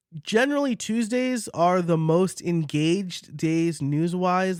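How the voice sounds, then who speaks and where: A man is speaking. He has a slight New York accent. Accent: slight New York accent, shows on some words. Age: 30s. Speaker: podcast coach and host. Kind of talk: casual solo podcast Q&A. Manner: conversational with fillers.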